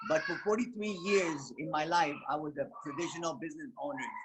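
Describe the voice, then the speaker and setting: A man with a high pitch speaks at a fairly quick pace and with lively intonation. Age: 70s. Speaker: network marketing distributor. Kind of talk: testimony. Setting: video call.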